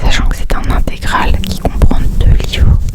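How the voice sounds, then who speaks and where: A woman's whisper moves at a fairly slow pace, with noticeable background noise behind it. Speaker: ASMR reader. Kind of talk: ASMR chat to camera. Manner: whispered.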